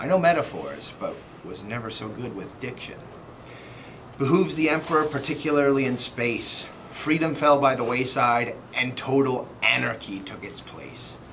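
A man speaks at a moderate pace with ordinary pitch variation and big swings in loudness. Light background noise is present. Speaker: poet. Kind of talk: poetry reading, rhyming couplets. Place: home room. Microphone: camera far.

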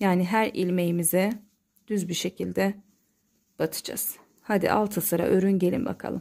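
Pausing long and often, a woman speaks with a dark, mellow tone and fairly even intonation. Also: medium pitch for a woman, moderate pace. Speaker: crochet tutorial maker. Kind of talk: tutorial.

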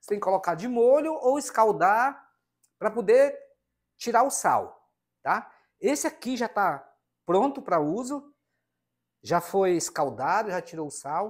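Against a quiet background, a man with a high pitch speaks at a fairly slow pace, his pitch swinging very widely and his speech broken by long, frequent pauses. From northern Brazil, Amazon region. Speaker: cooking video creator. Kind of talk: cooking tutorial. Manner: informal, chatty. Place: kitchen. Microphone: lapel.

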